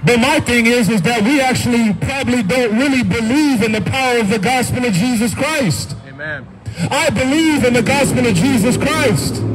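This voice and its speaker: With noticeable background noise behind it, the voice moves at a moderate pace with lively intonation. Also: man, extremely high pitch for a man. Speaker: street preacher. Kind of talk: street sermon. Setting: outdoors. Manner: earnest, urgent pleading; repetitive, emphatic, with frequent amens. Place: street.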